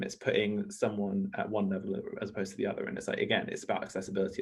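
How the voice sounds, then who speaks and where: He has a British accent. The man talks at a very fast pace. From Ecuador, raised in southeast London from age 8. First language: Spanish. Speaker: charity campaigner, conference speaker. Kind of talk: panel conversation.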